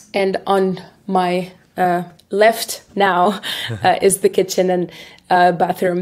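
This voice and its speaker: Her medium-pitched voice stays monotone and flat as the woman speaks. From Tunisia. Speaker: recruiter. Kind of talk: interview answer. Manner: hesitant, many fillers.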